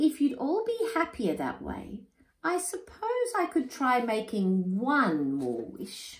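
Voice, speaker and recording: In a put-on character voice, a female-sounding speaker goes squeaky and high-pitched at a fairly slow pace. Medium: read story.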